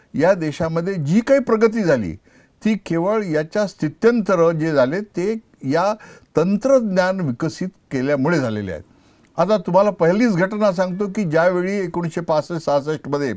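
Against a quiet background, a man speaks with lively intonation and a high pitch. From India, Vidarbha (Buldhana district, Maharashtra); Maharashtra, India. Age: 70s. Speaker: agricultural scientist; interviewee. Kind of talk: interview. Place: studio. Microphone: lapel.

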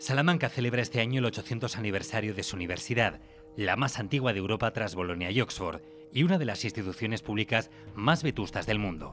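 A man's medium-pitched, very fast speech with lively intonation over music in the background. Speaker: narrator. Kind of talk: documentary narration.

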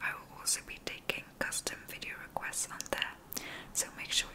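Whispering, a woman talks at a moderate pace. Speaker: ASMR creator. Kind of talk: ASMR sleep video, soft talk to the viewer. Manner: soft, calming, whispery. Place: home room. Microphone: studio mic.

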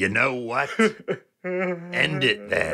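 A man's fairly high voice with lively intonation

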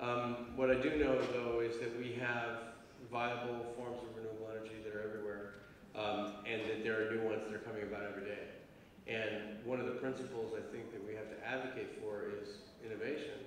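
Over light background noise and strong room echo, a man speaks in a monotone, flat way. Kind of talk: Q&A answer. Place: hall. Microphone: handheld.

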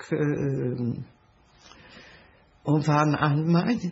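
Speaking at a very slow pace, a woman talks. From Hungary. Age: 80s+. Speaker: Holocaust survivor. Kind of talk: interview answer. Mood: sad, reflective memories.

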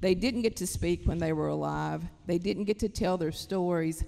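A woman speaks with an Appalachian accent. Her voice sits fairly low. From Kentucky, Appalachia. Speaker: writer. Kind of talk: panel discussion talk. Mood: earnest, passionate. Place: stage. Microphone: handheld.

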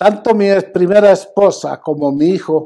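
Very slow speech comes from a man with a dark, mellow tone. The background is quiet. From Mexico. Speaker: businessman and donor. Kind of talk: public statement. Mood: grateful, emotional about late son. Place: office. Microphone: lapel.

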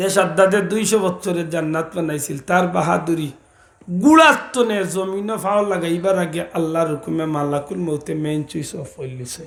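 A man with a high pitch and a Sylheti accent, ordinary pitch variation, and audible room echo. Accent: Sylheti Bengali. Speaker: Islamic preacher. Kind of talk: sermon.

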